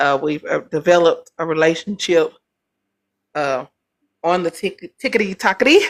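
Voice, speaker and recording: Speaking at a moderate pace with lively intonation, a woman with a fairly low pitch leaves long, frequent pauses, and the sound is dry and close with no echo. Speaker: livestream debate host. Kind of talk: heated debate. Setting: livestream. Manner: loud.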